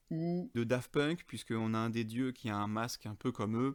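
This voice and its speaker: A man talks at a moderate pace and medium pitch in a very clean recording with a silent background. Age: 30s. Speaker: podcast host. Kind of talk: casual podcast monologue. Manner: casual, many hesitations.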